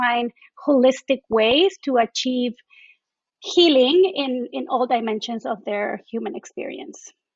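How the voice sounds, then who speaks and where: A woman with a Mexican accent speaks in a high pitch. Her pace is fairly slow. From Mexico. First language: Spanish. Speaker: doula and traditional Chinese medicine therapist. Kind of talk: podcast interview.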